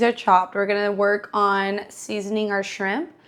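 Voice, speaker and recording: A woman's animated, medium-pitched voice with an American accent, at a moderate pace, over a very clean recording with a silent background. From Texas, Houston. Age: 20s. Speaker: fitness and cooking vlogger. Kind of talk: casual vlog chat while cooking.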